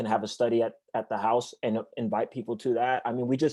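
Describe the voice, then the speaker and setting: Against a quiet background, a man talks at a moderate pace in a dark, mellow tone. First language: Spanish. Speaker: church evangelist. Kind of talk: interview. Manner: halting.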